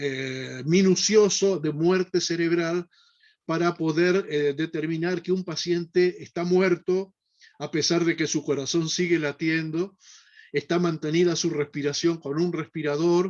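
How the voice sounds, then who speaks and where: Here a man talks at a fairly slow pace. His pitch is high and his intonation monotone and flat. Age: 70s. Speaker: neurosurgeon. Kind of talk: lecture. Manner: halting, frequent fillers.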